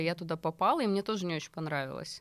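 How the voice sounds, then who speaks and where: A woman with a fairly low pitch and ordinary pitch variation talks at a very fast pace in a very clean recording with a silent background. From Russia, small settlement. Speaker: YouTube show host, travel organizer. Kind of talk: casual chat.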